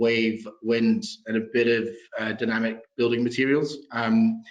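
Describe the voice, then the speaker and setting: This man speaks with a Scottish accent at a fairly slow pace. His pitch is medium and his intonation is monotone and flat. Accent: Scottish, still noticeable. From Scotland. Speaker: proptech company founder. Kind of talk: interview.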